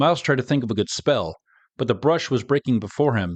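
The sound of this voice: An unforced reading voice over a quiet background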